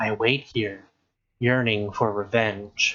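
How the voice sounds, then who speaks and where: In a put-on character voice, a soft-spoken man talks at a very slow pace with a medium pitch. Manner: very quiet.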